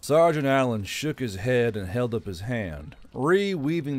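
Lively intonation in an unforced reading voice

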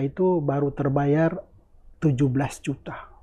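Fairly even intonation in a man's dark, mellow voice. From North Maluku, Indonesia. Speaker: Indonesian living in Gaza, aid worker. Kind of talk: casual interview about war experience. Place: home room. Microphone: lapel.

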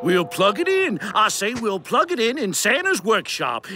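A cartoonish character voice with a bright, sharp tone and big pitch swings, faint music behind it. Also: man, high pitch for a man, moderate pace.

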